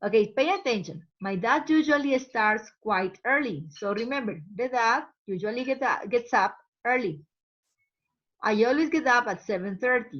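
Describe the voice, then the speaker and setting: A woman with a Spanish accent talks at a fairly high pitch with very wide pitch swings. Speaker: English teacher. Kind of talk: language lesson. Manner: slow, repeating words for learners.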